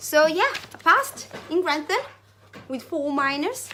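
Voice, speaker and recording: Over noticeable background noise, a woman with a non-native accent speaks with lively intonation. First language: not English. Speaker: vlogger. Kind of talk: casual vlog monologue. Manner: halting.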